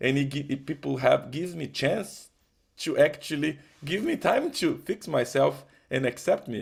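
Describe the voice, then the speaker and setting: A man with a Portuguese accent at a moderate pace, in a very clean recording with a silent background. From Brazil. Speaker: musician. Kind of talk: testimony. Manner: halting, with false starts.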